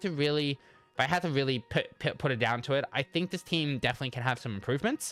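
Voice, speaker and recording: Music plays behind a man talking at a very fast pace with lively intonation. His fairly high voice sounds dry and close, with no echo. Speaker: gaming YouTuber. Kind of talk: casual commentary. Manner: halting, many repeated words; stutters.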